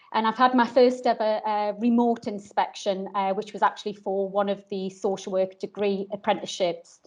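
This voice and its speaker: A woman talks at a moderate pace, keeping her intonation fairly even. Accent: northeast English. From northeast England. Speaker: social worker and course inspector. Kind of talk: webinar talk. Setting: online video session. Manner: hesitant, many ums.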